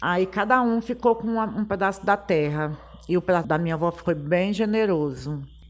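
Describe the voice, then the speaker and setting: Her pitch sits in the medium range for a woman, with ordinary variation. She has a plain, everyday voice and keeps a moderate pace. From Piauí, Brazil (Teresina). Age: 60s. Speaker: samba singer. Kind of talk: personal life story.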